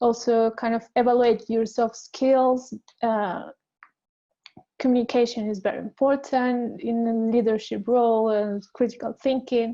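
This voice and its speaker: Here a woman with a non-native accent speaks in a dark, mellow tone at a fairly high pitch. Her intonation is monotone and flat, and her pace fairly slow. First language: not English. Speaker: designer. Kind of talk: panel discussion. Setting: webinar. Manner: halting.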